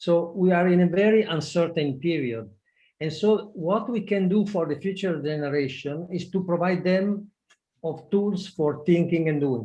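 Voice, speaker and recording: With an Italian accent, a man speaks at a high pitch and a moderate pace. His tone is dark and mellow, with ordinary pitch variation. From Italy. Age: 60s. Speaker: project management expert. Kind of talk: webinar talk. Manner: halting.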